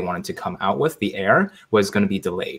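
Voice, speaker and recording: An ordinary speaking voice belongs to a man with an American accent. His pitch is fairly low, with ordinary variation. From Chicago. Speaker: investing content creator. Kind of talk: casual interview chat.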